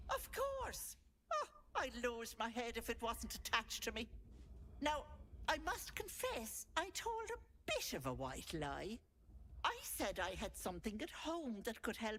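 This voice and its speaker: A female-sounding put-on character voice comes through with long, frequent pauses over clear background noise. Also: moderate pace. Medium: video game. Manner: doting, folksy, faintly menacing.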